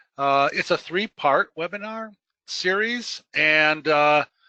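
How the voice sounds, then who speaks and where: A man with a fairly high pitch and a bright, sharp tone speaks at a very slow pace with lively intonation, the sound dry and close with no echo against a quiet background. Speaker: webinar presenter, employment services trainer. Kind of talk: webinar presentation. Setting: webinar. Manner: halting, many fillers.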